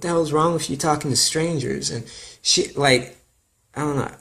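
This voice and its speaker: Fairly high-pitched male voice, a bit breathy. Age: 20s. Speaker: vlogger. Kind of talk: personal testimony. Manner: casual, halting.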